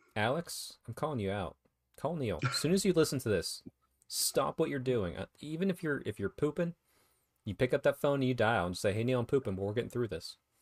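Recorded very cleanly with a silent background and a dry, close sound with no echo, a man speaks at a medium pitch and fairly quick pace, with vocal fry and very wide pitch swings. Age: 30s. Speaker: wargaming podcast host. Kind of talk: casual chat.

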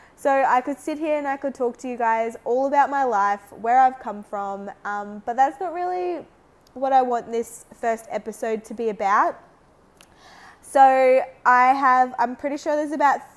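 Speaking at a fairly slow pace, a woman with an Australian accent uses a high pitch with ordinary pitch variation. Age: 30s. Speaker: podcast host. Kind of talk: casual solo monologue.

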